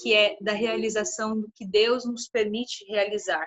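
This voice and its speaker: This is a woman with a normal speaking voice. She talks at a fairly slow pace. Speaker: lecturer on meditation and yoga. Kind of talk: lecture.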